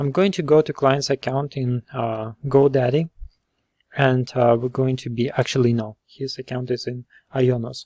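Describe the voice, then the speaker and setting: Dark, mellow male voice at a moderate pace, with fairly even intonation and a dry, close sound free of echo. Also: medium pitch for a man. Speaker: web developer. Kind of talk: screen-recorded tutorial. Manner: hesitant, many fillers.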